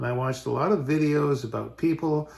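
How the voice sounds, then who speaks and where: A man speaks in a somewhat breathy voice. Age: 70s. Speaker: online business vlogger, retired architect. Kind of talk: channel introduction monologue. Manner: casual with frequent fillers.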